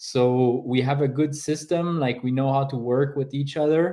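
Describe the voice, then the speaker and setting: A fairly slow delivery in a Quebec accent with fairly even intonation. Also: man. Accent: French Canadian accent in English. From French Canada. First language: French. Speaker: paraglider athlete. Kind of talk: interview.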